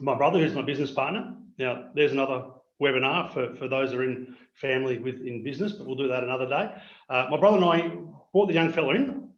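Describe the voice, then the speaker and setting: With an Australian accent, a man talks at a very fast pace. His intonation is lively, and there is audible room echo. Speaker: MSP business owner. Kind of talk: webinar presentation. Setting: video call.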